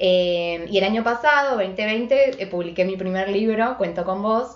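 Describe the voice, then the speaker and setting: A woman with an Argentine accent speaks at a medium pitch with ordinary pitch variation. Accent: Rioplatense Argentine Spanish. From Argentina, Buenos Aires. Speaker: writer and Instagram live co-host. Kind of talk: casual chat. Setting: Instagram live video stream.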